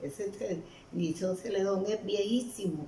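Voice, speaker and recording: A woman's lively intonation carries through audible room echo. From Colombian Caribbean coast, Aracataca, Magdalena. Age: 90s. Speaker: elderly storyteller. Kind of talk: interview. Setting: at her home.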